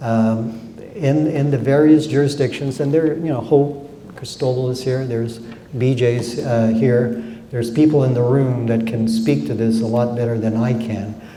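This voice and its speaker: A man at a moderate pace with ordinary pitch variation, audible room echo and noticeable background noise. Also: medium pitch for a man. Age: 60s. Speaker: judge. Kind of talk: lecture Q&A. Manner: halting, many fillers.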